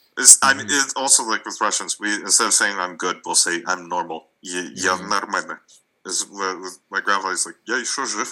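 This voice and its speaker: A man speaks at a fairly quick pace with a fairly low pitch. His tone is bright and sharp, with ordinary pitch variation. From Russia, Moscow. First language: Russian. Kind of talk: casual chat. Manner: halting.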